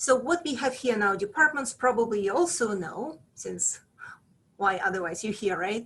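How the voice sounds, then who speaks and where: A woman with a Russian accent, fairly high in pitch, at a moderate pace with lively intonation. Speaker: professor. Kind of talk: presentation to prospective students. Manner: hesitant, many fillers.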